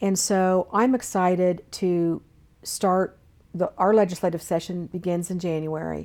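In an American accent, a woman talks at a fairly slow pace with medium pitch, fairly even intonation and a dark, mellow tone, on a very clean recording with a silent background. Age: 60s. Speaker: state government official. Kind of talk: interview.

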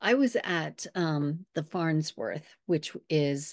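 A woman speaks with an American accent in a very deep, low voice and fairly even intonation. The background is quiet, and the sound is dry and close with no echo. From Arizona and Southern California, US. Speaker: near-death experiencer and writing coach. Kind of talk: interview, personal testimony.

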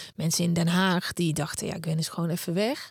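A woman's plain, everyday voice, fairly low in pitch, with fairly even intonation and a fairly quick pace. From Netherlands, Brabant (Uden). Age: 30s. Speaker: podcaster and author, former TV presenter. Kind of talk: interview.

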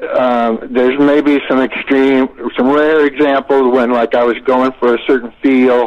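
A man with an American accent at medium pitch and a fairly slow pace, monotone, flat intonation and very even loudness. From Florida. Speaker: rock singer. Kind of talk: casual interview.

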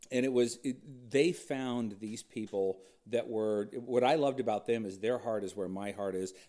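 With an American accent, a man speaks at medium pitch and a moderate pace in a dark, mellow tone with ordinary pitch variation. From Southern California. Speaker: country radio personality. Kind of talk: casual chat.

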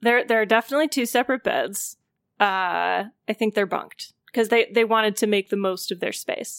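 A woman with an unremarkable speaking voice talks at a moderate pace in a fairly high pitch with ordinary pitch variation, recorded very cleanly against a silent background with a dry, close sound and no echo. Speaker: tabletop game player. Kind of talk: casual roleplaying game session.

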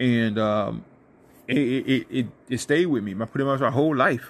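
A man's medium-pitched voice moves at a moderate pace, with ordinary variation in pitch. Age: 30s. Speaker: motivational podcast host. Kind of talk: motivational talk. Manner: energetic.

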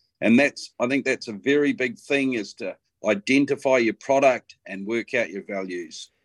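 A man with a New Zealand accent, medium pitch, lively intonation and a moderate pace, in a dry, close sound with no echo. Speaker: bloodstock agent. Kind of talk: casual chat.

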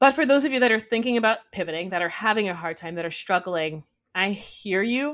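A woman with an American accent talks at a fairly quick pace in a normal speaking voice with lively intonation. The recording is very clean and the background silent. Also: medium pitch for a woman. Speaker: whiskey educator and distiller apprentice. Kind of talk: casual interview conversation.

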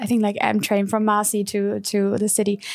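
With a German accent, the voice has a dark, mellow tone in a very clean recording with a silent background. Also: woman. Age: 30s. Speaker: fashion editor. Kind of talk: casual chat.

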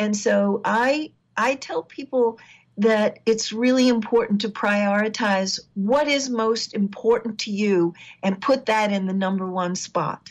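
A woman with a fairly high pitch and ordinary pitch variation talks fairly slowly in an ordinary speaking voice. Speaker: relationship counselor. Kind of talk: casual interview.

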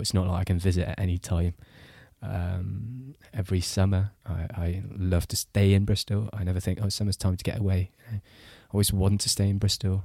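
A man's very deep, low voice, dark and mellow, somewhat breathy, with fairly even intonation, in a dry, close sound with no echo and a very clean recording with a silent background. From Singapore. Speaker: journalist. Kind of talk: casual chat.

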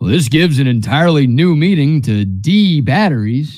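Putting on a character voice, a man speaks at a fairly high pitch with lively intonation and very even loudness. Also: moderate pace. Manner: corny, deadpan.

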